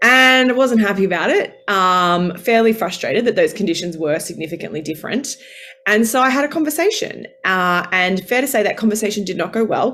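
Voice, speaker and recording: A woman with an Australian accent, fairly high pitch, very wide pitch swings and a moderate pace. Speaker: former journalist, women's career coach. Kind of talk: online masterclass talk. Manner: animated.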